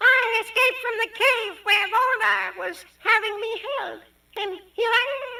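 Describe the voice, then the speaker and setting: In a put-on character voice, a woman speaks squeaky and extremely high with a cheerful tone, at a fairly slow pace, her intonation monotone and flat but her loudness swinging widely. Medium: audio drama.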